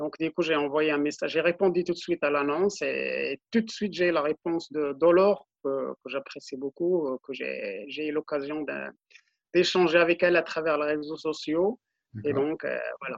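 Fairly high in pitch, this man has an unremarkable speaking voice and keeps his intonation fairly even. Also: moderate pace. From Morocco, Middle Atlas. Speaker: ultra-runner. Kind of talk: interview.

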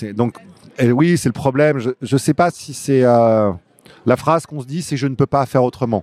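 Recorded with a dry, close sound with no echo, a man with an unremarkable speaking voice talks at a moderate pace in a medium pitch with ordinary pitch variation. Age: 50s. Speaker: novelist and comic book writer. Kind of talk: interview. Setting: comics festival.

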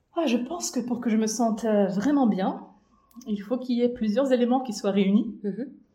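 There is audible room echo around a woman's fairly high-pitched voice. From Belarus, Minsk. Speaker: humanitarian consultant. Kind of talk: casual chat.

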